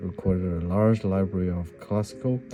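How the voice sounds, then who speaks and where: Over music in the background, a man with a non-native accent talks in a very deep, low voice with ordinary pitch variation. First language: not English. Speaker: piano hobbyist. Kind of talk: book reading aloud. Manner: halting, awkward.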